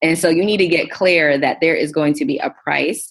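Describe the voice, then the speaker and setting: Pitch varies in an ordinary way. The voice carries an American accent. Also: woman. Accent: New York, sometimes. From Queens, New York City. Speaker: entrepreneur and investing educator. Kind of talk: podcast interview.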